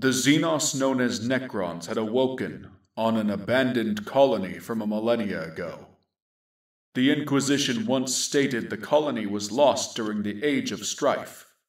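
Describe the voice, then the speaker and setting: A man uses a put-on character voice. He speaks at a moderate pace and a medium pitch. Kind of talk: grim sci-fi war narration. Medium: audio drama. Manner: measured, solemn.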